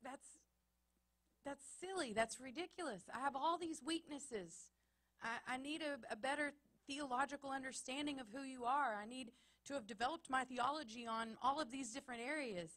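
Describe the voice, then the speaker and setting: A high-pitched female voice, its tone bright and sharp. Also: ordinary pitch variation, moderate pace. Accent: Texas. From Texas, small town. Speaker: pastor. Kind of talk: sermon. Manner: emphatic, repetitive cadence.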